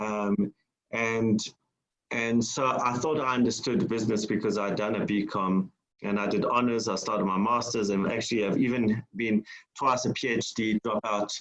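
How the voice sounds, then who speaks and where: The speaker has a South African accent. The pace is moderate and the intonation fairly even. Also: man, medium pitch for a man. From South Africa, Durban. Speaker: entrepreneur and business mentor. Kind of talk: public lecture. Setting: online lecture. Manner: halting, many fillers.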